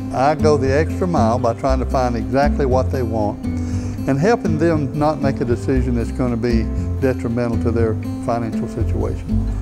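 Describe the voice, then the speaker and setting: A man at a moderate pace over loud music in the background. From Bessemer, Alabama. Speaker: car salesman, former pastor. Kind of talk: interview answer. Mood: warm, sincere. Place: shop. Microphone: lapel.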